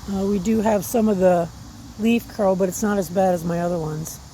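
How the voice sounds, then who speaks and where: A somewhat breathy woman's voice at medium pitch and moderate pace, relaxed in tone, with long, frequent pauses. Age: 60s. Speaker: gardening vlogger. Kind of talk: casual vlog walkthrough. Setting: outdoors. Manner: relaxed, conversational with fillers.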